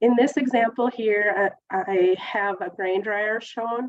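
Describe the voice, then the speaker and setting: A woman with an ordinary speaking voice talks at a fairly slow pace in a fairly high pitch, her intonation fairly even and the sound dry and close with no echo. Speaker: government grant program specialist. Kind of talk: webinar presentation. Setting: webinar.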